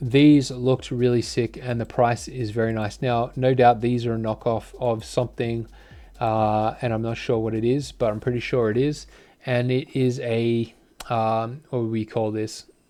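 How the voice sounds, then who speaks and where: With an Australian accent, a man speaks at a moderate pace in a dark, mellow tone with monotone, flat intonation. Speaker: fishing tackle reviewer. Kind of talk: product review. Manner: casual, hesitant with many fillers.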